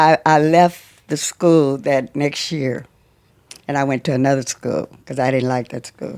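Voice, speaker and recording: A woman speaks with a Southern US accent and ordinary pitch variation. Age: 80s+. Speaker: grandmother and cancer survivor. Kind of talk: casual interview. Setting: at her home.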